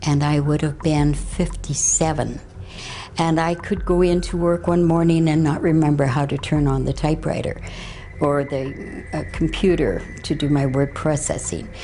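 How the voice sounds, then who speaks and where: A woman speaks in a very deep, low pitch, monotone and flat, with very even loudness. Audible room echo and noticeable background noise surround her. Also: moderate pace. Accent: Canadian. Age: 60s. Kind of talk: interview testimony. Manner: halting, with many fillers.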